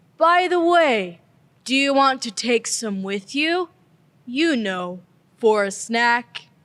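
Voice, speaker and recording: A fairly high, female-sounding put-on character voice is heard on a very clean recording with a silent background. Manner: slow, drowsy.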